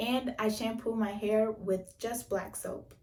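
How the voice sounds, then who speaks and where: A woman with an American accent at a fairly slow pace, with music in the background. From United States. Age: young. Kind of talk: casual hair routine talk to camera.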